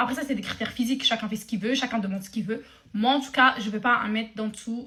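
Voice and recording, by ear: A woman talks fast in a bright, sharp tone with ordinary pitch variation. Room echo is audible.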